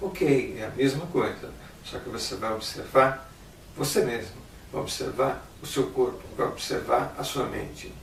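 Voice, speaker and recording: The speech comes at a fairly slow pace, with big swings in loudness. Audible room echo and noticeable background noise are present. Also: man. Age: 60s. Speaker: meditation teacher. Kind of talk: instructional talk.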